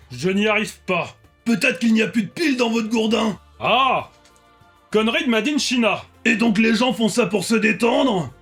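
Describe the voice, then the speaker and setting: A man puts on a high-pitched character voice at a moderate pace. Faint music plays in the background. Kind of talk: comedic reaction commentary. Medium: role play. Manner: exaggerated, theatrical.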